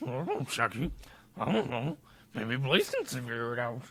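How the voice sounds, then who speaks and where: A put-on character voice sits at a low-to-middle pitch and moves at a moderate pace. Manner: goofy, drawn-out.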